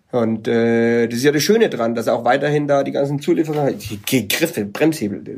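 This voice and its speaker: A man with an ordinary speaking voice, medium pitch and ordinary pitch variation, at a moderate pace with hardly any pauses. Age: 40s. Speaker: bike product developer. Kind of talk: interview. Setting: wine cellar in South Africa.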